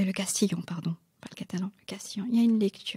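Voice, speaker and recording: At a moderate pace, a woman speaks in a somewhat breathy, dark, mellow tone at a medium pitch with fairly even intonation, and the sound is dry and close with no echo. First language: not French (speaking French). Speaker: novelist. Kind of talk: interview. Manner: halting, many fillers.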